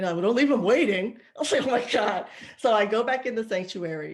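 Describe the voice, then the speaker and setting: A woman speaks at a fairly quick pace with lively intonation. Her fairly high voice has an animated tone. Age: 40s. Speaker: podcast co-host. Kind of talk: casual chat. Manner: animated storytelling.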